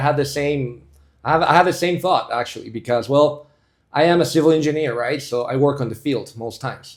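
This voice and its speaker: Speaking with a Spanish accent, a man uses a fairly high pitch with ordinary variation at a moderate pace. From Bolivia. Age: 30s. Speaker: civil engineer and investor, podcast guest. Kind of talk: casual interview chat.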